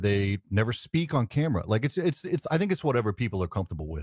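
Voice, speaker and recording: A somewhat breathy man at a medium pitch, very fast, with very wide pitch swings, in a very clean recording with a silent background. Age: 40s. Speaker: tech content creator. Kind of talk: casual chat. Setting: live stream.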